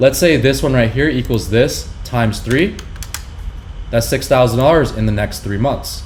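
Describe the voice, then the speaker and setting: The room echo is audible. A man's speech moves at a moderate pace. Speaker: business owner teaching marketing. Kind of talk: tutorial.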